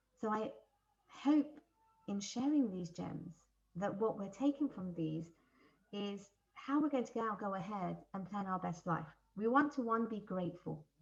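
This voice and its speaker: Over music in the background, a woman with a medium-pitched voice talks at a moderate pace with lively intonation. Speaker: life coach. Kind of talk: online workshop. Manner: animated; loud. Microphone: faint and echoey, then mic brought closer.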